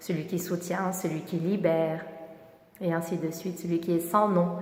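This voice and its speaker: In a calm tone, a woman with a fairly low voice speaks in a flat monotone with long, frequent pauses against noticeable background noise. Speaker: kundalini yoga teacher. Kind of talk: guided meditation instruction. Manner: calm, instructional.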